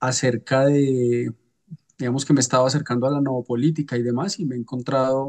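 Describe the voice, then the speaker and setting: A man speaks with a Colombian accent at a fairly quick pace and medium pitch. His intonation is fairly even, and the sound is dry and close with no echo. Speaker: political scientist, seminar participant. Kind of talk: seminar introduction. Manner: hesitant, many fillers.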